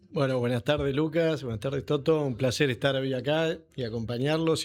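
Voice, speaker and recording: Fairly quick speech from a man in a normal speaking voice, pitch variation ordinary. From Buenos Aires, Argentina (San Isidro). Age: 40s. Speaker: agronomist, company CEO. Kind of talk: podcast interview.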